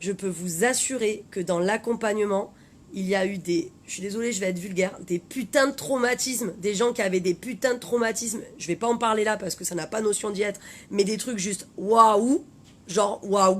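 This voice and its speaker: Her tone is animated, with ordinary pitch variation. This woman's voice sits at a medium pitch. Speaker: life coach. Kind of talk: live stream talk. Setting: Facebook live video. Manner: fast.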